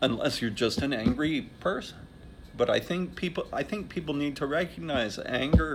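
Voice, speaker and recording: At a moderate pace, a man with a fairly high pitch speaks with vocal fry. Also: lively intonation. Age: 60s. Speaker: interviewee sharing life experience. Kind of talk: interview answers. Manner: halting, with many fillers and restarts.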